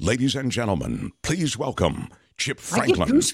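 A man speaks in a booming, put-on character voice. His pitch is medium and his pace moderate. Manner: announcer-style.

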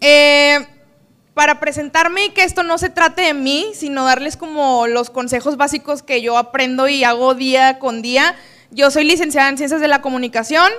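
Here a woman speaks with a high pitch and a bright, sharp, animated tone. Her pace is fairly slow, and her pitch varies in an ordinary way. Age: 20s. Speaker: public relations professional. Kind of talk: talk to a live audience.

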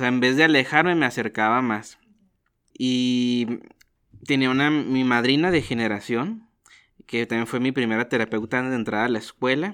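A man with an unremarkable speaking voice and medium pitch talks at a moderate pace with ordinary pitch variation, on a very clean recording with a silent background. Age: 20s. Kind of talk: interview conversation.

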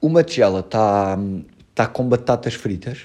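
A man with a European Portuguese accent, medium-pitched, in a dark, mellow tone with lively intonation. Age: 20s. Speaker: podcast host and musician. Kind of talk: casual chat. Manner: animated.

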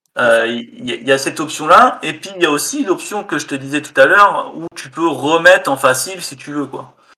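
A man with a bright, sharp tone talks at a moderate pace and fairly high pitch, with hardly any pauses. His intonation is lively, and his loudness swings widely. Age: 30s. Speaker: indie game developer. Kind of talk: casual interview.

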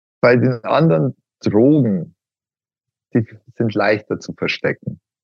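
The pitch of a man's voice is medium. He talks fairly slowly. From Upper Bavaria, Miesbach district. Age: 40s. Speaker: patient, IT security consultant. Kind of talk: interview.

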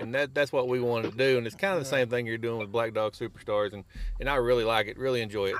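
At a very fast pace, a man talks with a Southern US accent at a medium pitch and ordinary pitch variation, over noticeable background noise. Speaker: podcast host. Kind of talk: casual chat.

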